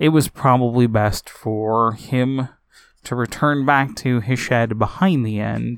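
With ordinary pitch variation, the reading aloud stays plain.

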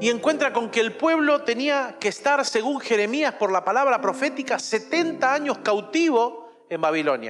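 Over music in the background, the voice moves at a fairly slow pace with lively intonation, very even loudness and hardly any pauses. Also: man, extremely high pitch for a man. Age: 40s. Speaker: pastor. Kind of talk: sermon.

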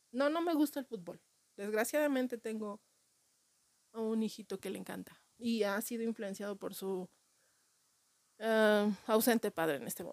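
A woman's fairly high voice at a moderate pace with ordinary pitch variation, big swings in loudness and long, frequent pauses, in a dry, close sound with no echo. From Mexico City. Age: 40s. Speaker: comedian. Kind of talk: comedic monologue.

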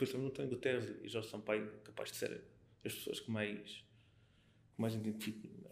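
Vocal fry runs through a man's medium-pitched voice. His intonation stays fairly even. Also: moderate pace. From Portugal, Alentejo (Mértola). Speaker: local political activist. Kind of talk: casual interview. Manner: halting, with repetitions.

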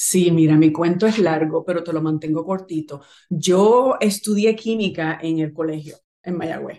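A woman's fairly low voice, dark and mellow in tone, with ordinary pitch variation. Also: fairly slow pace. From Puerto Rico, Naranjito and Bayamón. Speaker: clothing business founder. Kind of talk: interview.

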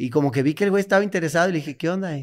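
On a very clean recording with a silent background, a man with a Mexican accent speaks at a fairly high pitch with ordinary pitch variation. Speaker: comedian. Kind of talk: storytelling.

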